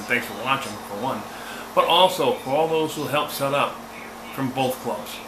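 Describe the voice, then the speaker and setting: Amid noticeable background noise, a man's voice carries an audible room echo. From New England. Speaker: amateur radio operator and channel host. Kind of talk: casual vlog outro. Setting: outdoor field day event. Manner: halting, many fillers.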